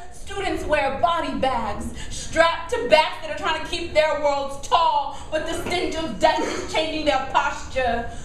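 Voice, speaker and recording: Fairly slow speech with ordinary pitch variation against noticeable background noise. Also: woman. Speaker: poet; teacher. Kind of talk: live slam poetry performance. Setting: live venue, audience.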